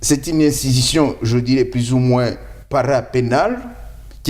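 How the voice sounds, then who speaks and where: With a non-native accent, a man talks at a fairly slow pace. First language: not French (speaking French). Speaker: lawyer. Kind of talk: interview.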